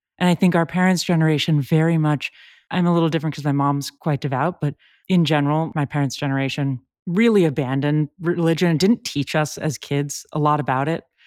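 In a Californian accent, a woman with a very deep, low pitch talks at a fairly quick pace with fairly even intonation, in a very clean, dry, close recording with a silent background and no echo. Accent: Californian American. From US West Coast, San Francisco. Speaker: journalist. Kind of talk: casual interview. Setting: home closet.

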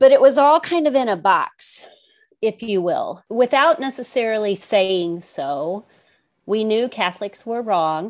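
Fairly slow speech with an American accent and very wide pitch swings, over a quiet background. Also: woman, fairly high pitch for a woman. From US Midwest, rural Missouri. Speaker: author. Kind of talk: interview conversation. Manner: halting, many fillers.

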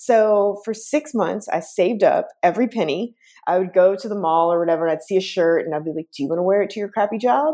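A woman with an American accent at a very fast pace, hardly any pauses, lively intonation, a dark, mellow tone and a medium pitch. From US South, Chattanooga, Tennessee. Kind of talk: interview.

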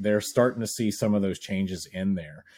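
A man with an unremarkable speaking voice speaks at a fairly quick pace, with fairly low pitch and ordinary pitch variation. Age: 40s. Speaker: podcast host. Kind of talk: casual interview chat. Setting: remote recording.

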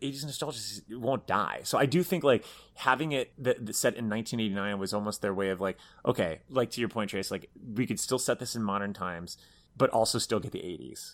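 A plain, everyday voice, a man's at medium pitch, moves at a fairly quick pace with ordinary pitch variation on a very clean recording with a silent background. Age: 30s. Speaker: entertainment website editor and podcast co-host. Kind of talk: casual chat.

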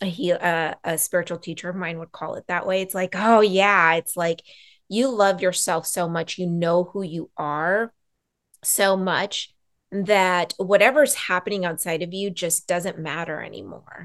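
A woman speaks in a normal speaking voice, fairly low in pitch, with ordinary pitch variation and big swings in loudness. Her pace is fairly slow, and the background is quiet. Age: 40s. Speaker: boundaries coach and Reiki practitioner. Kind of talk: casual interview.

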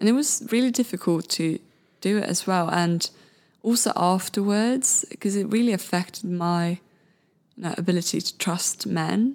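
A Swedish accent in a very clean recording with a silent background. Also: woman, medium pitch for a woman, ordinary pitch variation, moderate pace. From Sweden, Malmö. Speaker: photographer and podcast host. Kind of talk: interview. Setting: studio.

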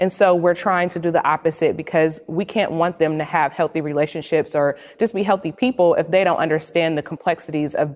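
Talking at a fairly quick pace with an American accent, a woman has an unremarkable speaking voice, a fairly low pitch and fairly even intonation. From US inner city. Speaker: writer and mother. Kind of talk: panel discussion. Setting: video call.

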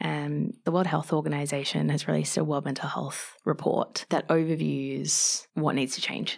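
Moderate-paced speech from a woman with an Australian accent. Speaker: mental health advocate. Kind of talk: podcast interview.

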